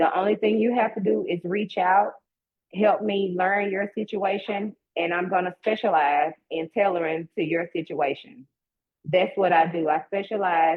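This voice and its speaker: In a Southern US accent, a woman speaks at a moderate pace. Her pitch is medium, with ordinary variation. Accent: Southern twang. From US South (Mississippi). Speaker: real estate agent. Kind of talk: promotional talk in a live online event; casual chat. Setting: online live stream. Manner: animated.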